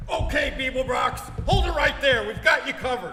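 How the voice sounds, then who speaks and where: In a raised, projected put-on character voice, a man talks at a fairly quick pace over clear background noise with clear echo. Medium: stage play.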